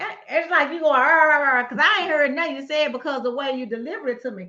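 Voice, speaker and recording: Projecting her voice at a very fast pace, a woman with a high pitch and a bright, sharp tone makes big swings in loudness. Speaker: podcast host. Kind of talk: casual chat.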